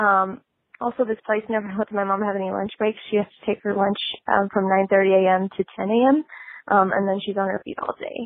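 A woman with an ordinary speaking voice and an American accent talks at a moderate pace, her medium pitch held in fairly even intonation. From Nebraska. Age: 20s. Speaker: caller. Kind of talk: voice message.

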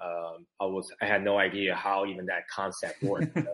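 Against a quiet background, a man with an American accent speaks with a fairly low pitch. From US West Coast, San Francisco Bay Area. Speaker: Paralympic sled hockey goalie, army veteran. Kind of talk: casual interview chat. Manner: halting, many fillers and repetitions.

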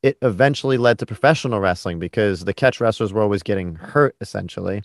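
A man with an American accent and a plain, everyday voice, medium in pitch, with lively intonation at a fairly quick pace over a quiet background. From New York. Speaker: podcast host. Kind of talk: casual interview chat.

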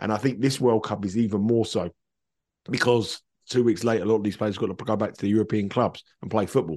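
A very fast voice in a British accent, with fairly even intonation and big swings in loudness. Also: man, fairly low pitch for a man. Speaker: football betting pundit. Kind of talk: casual chat. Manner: halting.

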